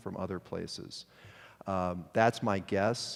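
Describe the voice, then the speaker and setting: The recording is very clean, with a silent background. In it, a man with an American accent talks with fairly even intonation. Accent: upper Midwest accent, slips out at times. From Detroit, US Midwest. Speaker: mortgage industry executive. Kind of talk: conference presentation. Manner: casual, self-correcting.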